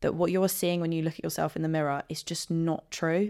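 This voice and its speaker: A woman's fairly low voice with monotone, flat intonation, in a southern English accent, on a very clean recording with a silent background. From southern England (Guildford, Surrey). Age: 20s. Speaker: podcast guest. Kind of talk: casual interview chat.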